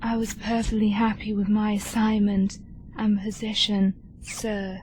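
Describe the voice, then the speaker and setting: A put-on character voice, female-sounding and medium-pitched, at a moderate pace in a flat monotone, over clear background noise. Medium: audio drama. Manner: stiff, formal, terse.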